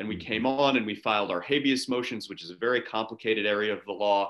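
A man talks at a fairly quick pace in a bright, sharp tone at medium pitch. His pitch varies in an ordinary way against a quiet background. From Pittsburgh, Pennsylvania. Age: 30s. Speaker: lawyer and judicial candidate; candidate, lawyer. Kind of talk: interview. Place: home room. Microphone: webcam.

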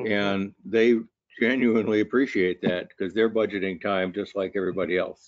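An unremarkable speaking voice from a man, fairly low in pitch, at a moderate pace against a quiet background. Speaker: university lecturer and researcher; university lecturer. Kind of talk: webinar discussion. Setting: online webinar. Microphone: video call.

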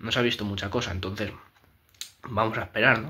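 A man with a Spanish accent talks very fast in a flat monotone, his tone bright and sharp. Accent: Peninsular Spanish. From Spain. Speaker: YouTuber, film commentator; film opinion youtuber. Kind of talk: casual opinion monologue. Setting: home room, new setup after moving. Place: home room.

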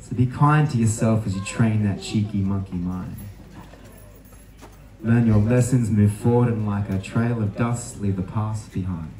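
Fairly low male voice at a moderate pace, fairly even intonation, audible room echo and light background noise. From Australia. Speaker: spoken word poet. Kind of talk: spoken word poetry performance. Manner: rhythmic, punchy; uplifting. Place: tent. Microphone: handheld.

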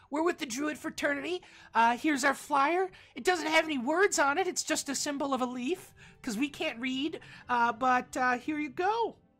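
At a moderate pace, a woman speaks in a high-pitched voice. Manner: cheerful, bubbly.

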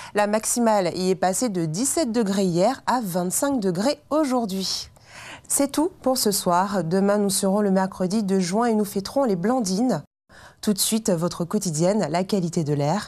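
A woman with a dark, mellow tone speaks at a fairly slow pace, her intonation lively and her loudness very even. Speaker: weather presenter. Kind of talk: TV weather forecast, scripted and read to camera. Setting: TV studio. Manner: formal, measured and even, clear professional delivery. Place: studio. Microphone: lapel.

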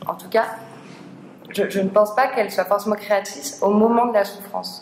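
A woman's voice with light background noise and audible room echo. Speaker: seminar co-organizer. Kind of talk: speaker introduction. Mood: reflective. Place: classroom. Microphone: camera far.

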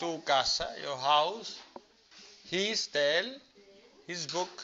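Light background noise accompanies a man speaking at a high pitch. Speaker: teacher. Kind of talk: classroom lesson explaining English grammar to students. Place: classroom.

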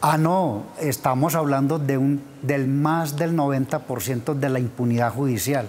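Over light background noise, a man talks very slowly at a fairly high pitch, his intonation fairly even and his loudness very even. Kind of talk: TV interview. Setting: TV studio. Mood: serious, concerned. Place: studio. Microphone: lapel.

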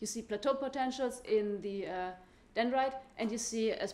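A woman is talking. Her voice sits fairly high. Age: young. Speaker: physics PhD student; presenter. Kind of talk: conference talk. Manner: hesitant, many fillers. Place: hall.

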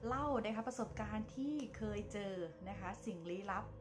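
Clear music plays in the background as a woman speaks with lively intonation. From Thailand, Chachoengsao province. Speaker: lifestyle vlogger, tour guide. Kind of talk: casual ghost-story telling to camera. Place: home room. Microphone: phone near.

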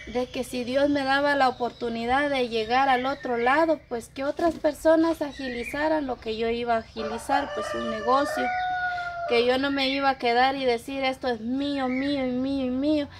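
Noticeable background noise behind a woman's moderate pace. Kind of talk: emotional personal account to camera. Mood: apologetic, earnest. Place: farm. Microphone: camera far.

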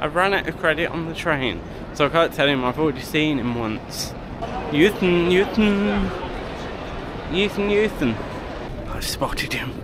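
With long, frequent pauses, a man speaks at a moderate pace in a dry sound with no echo, against noticeable background noise. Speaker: vlogger. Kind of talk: casual vlog chat. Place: station. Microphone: phone near.

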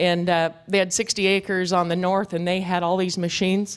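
Against a quiet background, a woman talks in an American accent. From US West (ranch country). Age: 50s. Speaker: goat herder and land restoration expert; conference presenter. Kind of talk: conference talk with slides. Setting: stage with audience. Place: hall.

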